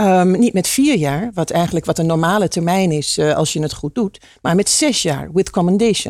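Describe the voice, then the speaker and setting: On a very clean recording with a silent background, a woman with a medium-pitched voice and a dark, mellow tone speaks at a moderate pace with lively intonation. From eastern Netherlands, Hengelo (Twente). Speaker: entrepreneur, pharmacist. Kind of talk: interview.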